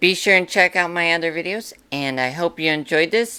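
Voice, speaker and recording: At a moderate pace, a woman speaks in a fairly low, bright, sharp tone, in a very clean recording with a silent background. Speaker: YouTuber. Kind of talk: casual commentary to camera. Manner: halting, filler-heavy.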